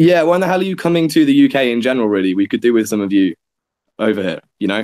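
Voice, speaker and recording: Speaking very fast with an English accent, a man at medium pitch swings his pitch very widely in a dry, close sound with no echo. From England (Nottingham). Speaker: dance student and video maker. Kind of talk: casual chat.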